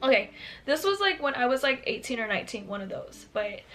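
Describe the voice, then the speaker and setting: A woman talks in a high voice while noticeable background noise plays behind her. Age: 20s. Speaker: YouTuber. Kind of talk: storytime vlog. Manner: casual chatty.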